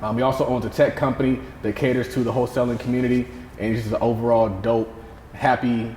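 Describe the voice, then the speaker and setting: Over noticeable background noise, a man with an American accent talks at a very fast pace, medium in pitch and monotone, with flat intonation. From US South. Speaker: podcast host. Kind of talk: interview conversation.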